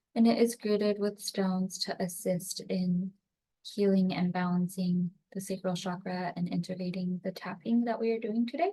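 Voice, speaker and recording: Her dark, mellow, somewhat breathy voice sits at a medium pitch, as a woman talks at a moderate pace with fairly even intonation. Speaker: energy healing practitioner. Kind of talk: guided tapping session introduction. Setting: home recording on computer.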